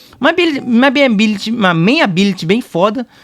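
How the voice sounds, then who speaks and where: Talking at a very fast pace, a man with a high pitch is heard in a dry, close sound with no echo. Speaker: gaming YouTuber. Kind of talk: game analysis commentary. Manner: halting, stuttering and repeating.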